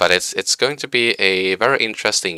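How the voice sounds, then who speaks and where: A man with a slight Swedish accent talks very fast in a very deep, low voice, its tone bright and sharp, with ordinary pitch variation and a dry, close sound free of echo. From Sweden. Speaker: game streamer and hobby engineer. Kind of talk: live stream commentary. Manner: casual, hesitant with fillers.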